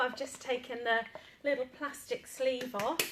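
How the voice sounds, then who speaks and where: A woman with a British accent speaks in a high voice. Her pitch varies in an ordinary way, and there is noticeable background noise. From Britain. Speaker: paint retailer demonstrating furniture painting. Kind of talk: tutorial.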